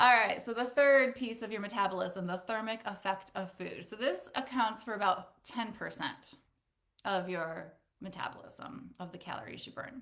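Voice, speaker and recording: A woman talks at a moderate pace and a fairly high pitch with ordinary pitch variation, in a normal speaking voice. Her loudness swings a lot. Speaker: personal trainer. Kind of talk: webinar presentation. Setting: Facebook live webinar.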